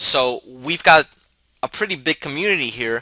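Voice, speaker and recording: Lively in intonation, a man's fairly high, bright, sharp voice comes across dry and close with no echo. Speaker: real estate software vendor and educator. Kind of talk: tutorial. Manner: fast.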